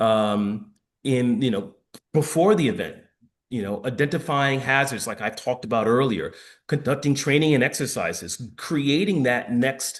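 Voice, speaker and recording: Against a quiet background, a man with an American accent speaks with lively intonation. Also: medium pitch for a man. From New York. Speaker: former firefighter and public health expert. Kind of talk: lecture. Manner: fast.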